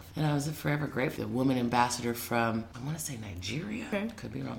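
A woman speaks very fast in a very deep, low pitch, with hardly any pauses and lively intonation. Her loudness swings widely, with audible room echo and noticeable background noise. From US Midwest, Des Moines, Iowa. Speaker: lawyer and public servant. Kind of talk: interview conversation.

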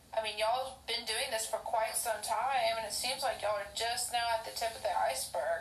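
A woman with an American accent talks at a fairly quick pace with hardly any pauses, her fairly high pitch showing ordinary variation over noticeable background noise. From Oklahoma. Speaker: podcast host. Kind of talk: casual interview. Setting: video call. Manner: halting.

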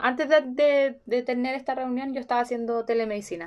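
A high-pitched woman at a moderate pace, with a Chilean accent. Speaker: podcast host, speech therapist. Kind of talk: casual interview chat.

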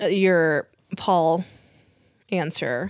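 The voice carries an American accent, with a dry, close sound and no echo. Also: woman. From US (Korean American). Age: 30s. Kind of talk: casual chat.

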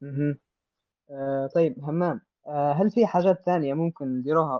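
Fairly slow, fairly high-pitched speech from a man. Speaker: podcast host. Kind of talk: moderated discussion.

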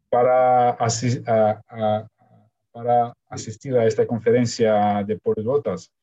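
In a Russian accent, a man speaks very slowly at a medium pitch with a monotone, flat intonation. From Ukraine. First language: Russian (speaking Spanish). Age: 40s. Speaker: polyglot, marketing professional. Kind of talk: interview. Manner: halting.

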